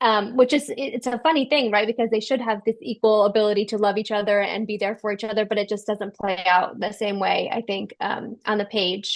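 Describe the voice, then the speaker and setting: A plain, everyday voice, fairly even in intonation, moves along at a fairly quick pace. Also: woman, fairly high pitch for a woman. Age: 30s. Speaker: novelist. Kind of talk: book club interview.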